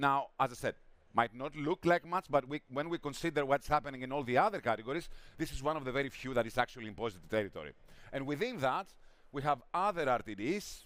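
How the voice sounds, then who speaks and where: Speaking with a Greek accent, a man talks at a very fast pace with lively intonation and fairly high pitch. The sound is dry and close, with no echo. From Greece. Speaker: drinks industry analyst. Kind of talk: conference talk. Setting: stage with audience.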